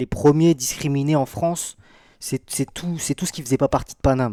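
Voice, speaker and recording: Recorded very cleanly with a silent background and a dry, close sound with no echo, a man speaks at a moderate pace in a fairly high pitch with a dark, mellow tone and ordinary pitch variation. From Brittany. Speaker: streamer. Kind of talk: live stream reaction. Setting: live stream. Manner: animated.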